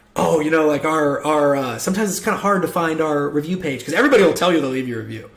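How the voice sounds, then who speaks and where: A man's energetic, fairly high voice at a very fast pace with ordinary pitch variation, amid noticeable background noise and audible room echo. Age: 20s. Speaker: home service business coach. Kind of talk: tutorial. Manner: casual, energetic.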